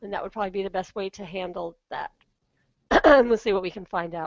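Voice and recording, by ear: A woman puts on a character voice, hoarse and raspy at a medium pitch. She talks at a very fast pace, and the sound is dry and close with no echo.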